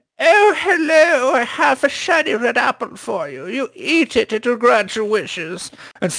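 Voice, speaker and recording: Using a put-on character voice, a man speaks at an extremely high pitch with very wide pitch swings. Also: moderate pace. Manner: sweetly sinister, offering a poisoned apple.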